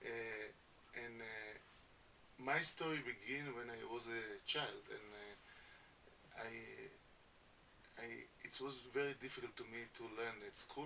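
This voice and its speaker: A man speaks with a non-native accent at medium pitch. His pace is very slow. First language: Hebrew. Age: 50s. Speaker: education founder. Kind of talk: radio interview. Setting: radio studio. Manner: halting.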